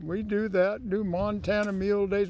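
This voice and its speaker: Delivered at a moderate pace, the voice has a dark, mellow tone. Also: man. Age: 70s. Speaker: mule driver. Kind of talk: casual interview.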